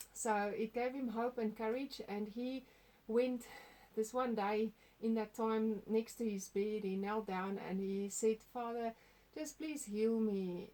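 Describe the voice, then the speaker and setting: A woman speaks at a very slow pace with a fairly high pitch, a dark, mellow tone and fairly even intonation. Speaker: testimony sharer. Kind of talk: testimony. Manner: halting.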